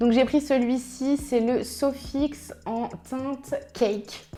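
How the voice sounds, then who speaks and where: A woman with a high voice speaks at a very slow pace. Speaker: beauty youtuber. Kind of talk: makeup tutorial. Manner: animated.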